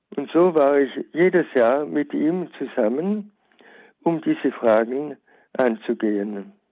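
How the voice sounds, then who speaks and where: Delivered at a very slow pace, the speech has lively intonation and long, frequent pauses. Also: man, fairly high pitch for a man. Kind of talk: prepared memorial talk. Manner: formal.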